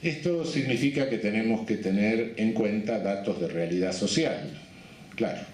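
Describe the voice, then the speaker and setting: Against noticeable background noise, a man speaks fairly slowly at a medium pitch, with lively intonation and very even loudness. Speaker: criminologist, jurist and supreme court judge giving a congress lecture. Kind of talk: academic conference lecture.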